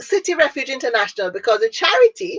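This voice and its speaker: A high-pitched woman's voice with a Jamaican accent, very wide pitch swings and a fairly quick pace, in a dry, close sound with no echo. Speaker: business owner and networking organizer. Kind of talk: interview.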